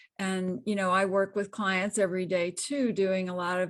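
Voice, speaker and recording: This woman's intonation stays monotone and flat, with only a quiet background behind her. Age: 60s. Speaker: intuitive counselor. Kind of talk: testimony.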